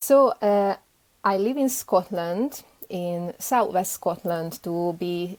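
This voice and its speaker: With a Hungarian accent, a woman speaks at a very slow pace. The sound is dry and close, with no echo. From Hungary, Budapest. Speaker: beekeeper. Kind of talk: interview.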